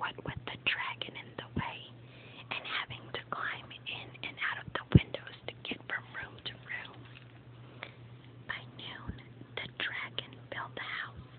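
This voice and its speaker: A woman whispering at a fairly slow pace, with long, frequent pauses and noticeable background noise. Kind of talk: whispered ASMR reading of a children's book. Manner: whispered.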